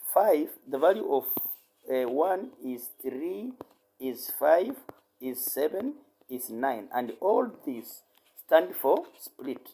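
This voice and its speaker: Long, frequent pauses punctuate talking that goes very slowly. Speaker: online tutor teaching number codes. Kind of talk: tutorial.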